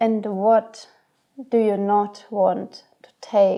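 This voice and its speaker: A woman's medium-pitched voice in a non-native accent, dark and mellow in tone, with monotone, flat intonation. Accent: non-native English speaker. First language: not English. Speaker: astrology guide. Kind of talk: spiritual guidance monologue.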